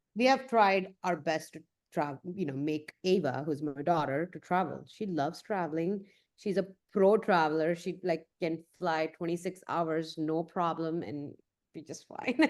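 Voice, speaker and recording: A woman with an Indian accent and ordinary pitch variation. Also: fairly low pitch for a woman, moderate pace. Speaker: photographer. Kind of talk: casual chat.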